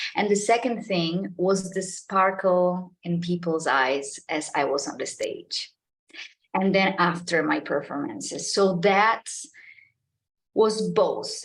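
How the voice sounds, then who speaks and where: A woman with a Polish accent, very slow pace and lively intonation. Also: medium pitch for a woman. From Poland. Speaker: artist and public speaker. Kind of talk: interview podcast conversation.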